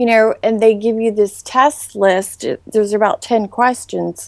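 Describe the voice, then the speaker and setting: A woman speaks at a fairly slow pace with a Southern US accent, the sound dry and close with no echo. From US South, Charleston, South Carolina. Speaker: former model. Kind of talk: interview.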